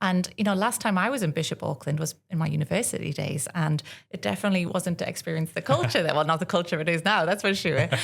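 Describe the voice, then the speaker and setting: Speaking very fast, a woman leaves hardly any pauses. Her fairly low voice is somewhat breathy, with lively intonation. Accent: North East England. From North East England, Northumberland. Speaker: tourism partnerships manager. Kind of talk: podcast interview.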